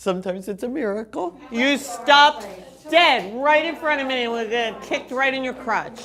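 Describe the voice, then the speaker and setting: A loud woman with a high pitch talks at a moderate pace over noticeable background noise. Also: ordinary pitch variation. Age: 70s. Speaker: dance director and choreographer. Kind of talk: interview and rehearsal instruction.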